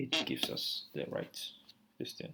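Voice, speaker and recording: Talking at a moderate pace, this voice stays soft-spoken throughout. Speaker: coding tutorial creator. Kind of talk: coding tutorial. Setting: at home at night. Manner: hesitant, many fillers.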